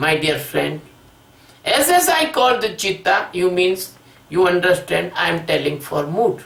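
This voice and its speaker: Over noticeable background noise, a man with a non-native accent speaks at a fairly slow pace. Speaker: spiritual teacher. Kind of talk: spiritual discourse. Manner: halting.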